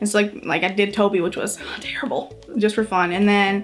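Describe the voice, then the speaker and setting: Music plays in the background as a woman speaks at a medium pitch. She has a slight Wisconsin accent and fairly even intonation. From US Midwest, Superior, Wisconsin. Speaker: cosplayer and parent. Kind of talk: casual interview chat.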